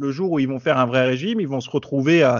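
A man with a fairly high pitch talks very fast, with ordinary pitch variation. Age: 30s. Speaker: fitness YouTuber and podcaster. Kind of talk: casual interview. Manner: hesitant, many filler words.

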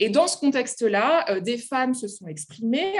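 At a fairly slow pace, a woman speaks with high pitch and very wide pitch swings. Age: 30s. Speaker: literature lecturer and author. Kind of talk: interview. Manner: halting.

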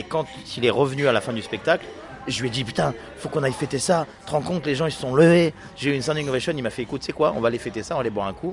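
Against noticeable background noise, a man races along at a very fast pace with a medium pitch and ordinary pitch variation. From France, Nice. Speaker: comedian. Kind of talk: interview.

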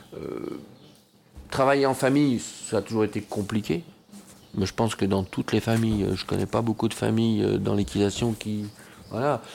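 At a fairly slow pace, a man talks with lively intonation at a medium pitch. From France, Bois-le-Roi. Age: 50s. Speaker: show jumping rider and trainer. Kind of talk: interview. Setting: equestrian club clubhouse. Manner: halting, many hesitations.

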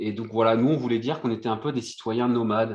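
An unremarkable speaking voice from a man, medium-pitched, at a fairly quick pace. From Réunion and Brittany, France. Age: 30s. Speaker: sailor and former marine commando. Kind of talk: casual interview chat.

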